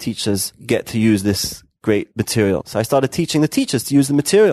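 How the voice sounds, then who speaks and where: A man speaks with a London accent at a fairly quick pace, showing ordinary pitch variation. The sound is dry and close with no echo, against a quiet background. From London, England. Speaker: rabbi and founder of educational media organization. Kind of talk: interview conversation.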